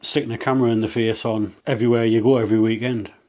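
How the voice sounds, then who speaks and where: On a very clean recording with a silent background, a man with an English accent talks at a fairly quick pace and medium pitch. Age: 40s. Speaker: motorcycle vlogger. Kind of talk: casual vlog monologue.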